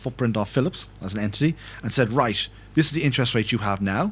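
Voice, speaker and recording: Speaking in an Irish accent, a man at medium pitch moves at a fairly quick pace with lively intonation. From Ireland. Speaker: finance network director. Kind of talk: conference talk. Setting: conference hall with audience and interpreter. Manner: fast.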